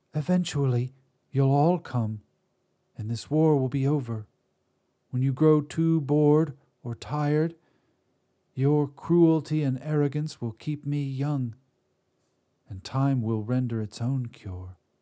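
A man speaks in a put-on character voice at a medium pitch, with long, frequent pauses. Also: fairly slow pace. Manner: dry, calm, scornful.

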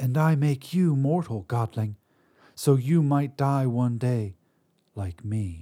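A man's put-on character voice at medium pitch, in a very clean recording with a silent background. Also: fairly slow pace. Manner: dry, calm, scornful.

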